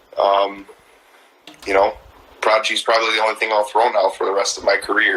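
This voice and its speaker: A man with a Midwestern accent at a fairly quick pace, with long, frequent pauses and noticeable background noise. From Wisconsin, Sheboygan. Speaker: disc golf brand street team member. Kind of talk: casual interview chat. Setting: live video stream.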